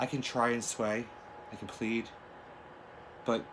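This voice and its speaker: A man's fairly low voice with audible room echo. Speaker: video diarist. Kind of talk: personal video diary. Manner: slight stutter and slurring.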